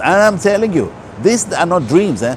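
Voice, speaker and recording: A man at a moderate pace, against noticeable background noise. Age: 60s. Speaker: holistic health speaker. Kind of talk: motivational talk.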